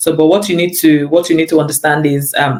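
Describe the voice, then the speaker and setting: This woman speaks in a very deep, low pitch. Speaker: lecturer and pastor. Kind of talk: interview. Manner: repetitive, halting.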